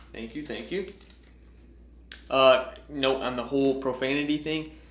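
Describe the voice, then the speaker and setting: A man at a fairly slow pace in audible room echo. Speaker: entrepreneur vlogger. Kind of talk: vlog reading out speech feedback. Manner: enthusiastic.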